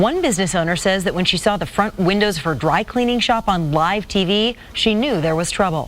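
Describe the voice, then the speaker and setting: A woman's medium-pitched voice with lively intonation at a fairly quick pace, amid noticeable background noise. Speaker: TV news anchor. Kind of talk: TV news anchor read.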